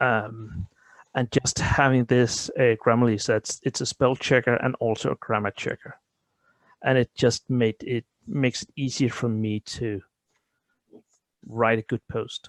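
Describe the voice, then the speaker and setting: With a Danish accent, a man speaks at a medium pitch in fairly even intonation, leaving long, frequent pauses. The sound is dry and close with no echo, on a very clean recording with a silent background. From Denmark. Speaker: tabletop role-playing gamer. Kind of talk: interview. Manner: halting.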